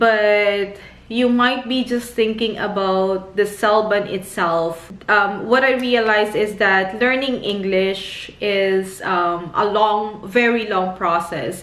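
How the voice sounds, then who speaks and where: Noticeable background noise and audible room echo surround a woman's voice. She speaks at a very slow pace with a medium pitch. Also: fairly even intonation. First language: not English. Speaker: nurse and vlogger. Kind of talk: casual advice vlog. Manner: hesitant, many fillers.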